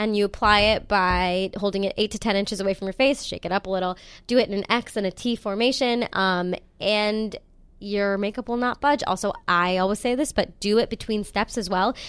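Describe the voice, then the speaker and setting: A woman with an unremarkable speaking voice talks at a fairly quick pace in a medium pitch with fairly even intonation, recorded very cleanly against a silent background. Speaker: podcast host. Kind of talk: casual chat.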